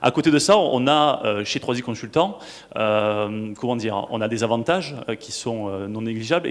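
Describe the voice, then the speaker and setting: A man with a Toulouse accent speaks at a fairly quick pace. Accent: southern French (Toulouse). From southwest France, Toulouse. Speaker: marketing director, conference speaker. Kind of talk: conference panel talk. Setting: stage with audience. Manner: hesitant, many fillers and repetitions.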